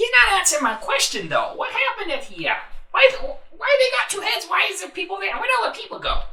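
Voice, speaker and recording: A put-on character voice pitched extremely high races along at a very fast pace. Background noise is clearly heard. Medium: actual play. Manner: blunt, casual.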